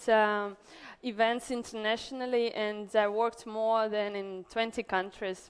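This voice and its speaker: A woman with a Russian accent speaks fairly slowly at a fairly high pitch, on a very clean recording with a silent background. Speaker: event organizer and entrepreneur. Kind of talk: conference talk. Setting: stage with audience. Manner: halting.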